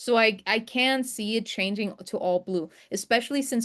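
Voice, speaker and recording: A woman's fairly high voice over a quiet background. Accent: non-native. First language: not English. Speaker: trading instructor. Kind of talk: live webinar tutorial. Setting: video call screen share. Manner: casual, conversational.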